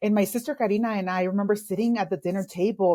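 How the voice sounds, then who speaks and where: A woman with a Spanish accent speaks at a medium pitch and a fairly quick pace. Her tone is dark and mellow, and the recording is very clean with a silent background. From El Salvador, raised in Los Angeles from age eight. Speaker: executive coach. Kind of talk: interview storytelling.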